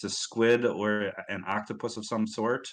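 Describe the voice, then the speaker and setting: Bright and sharp in tone yet fairly low in pitch, a man speaks with a Midwestern accent. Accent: Midwest US. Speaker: community livestream host. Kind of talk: casual livestream chat.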